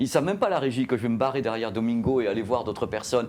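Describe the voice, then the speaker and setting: In a very clean recording with a silent background, a man talks at a very fast pace in a medium pitch. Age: middle-aged. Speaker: journalist and YouTuber. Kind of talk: interview. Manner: animated.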